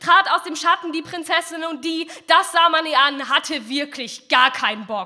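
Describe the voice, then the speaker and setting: A woman's extremely high voice at a moderate pace, playful and theatrical in tone, with ordinary pitch variation. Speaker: poetry slammer. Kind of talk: poetry slam performance, rhymed fairy-tale satire read from text. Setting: stage with audience. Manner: playful and ironic, mock-storyteller tone with theatrical voices for king and princess; brisk, punchy delivery with comic timing and a defiant finish. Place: hall. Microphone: handheld.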